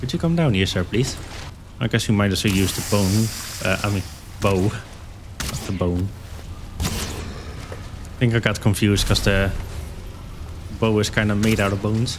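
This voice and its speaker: Fairly low in pitch, a man talks fairly slowly with ordinary pitch variation and long, frequent pauses. Background noise is noticeable, and room echo can be heard. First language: not English. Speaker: gaming YouTuber. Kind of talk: gameplay commentary. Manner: casual, halting with fillers.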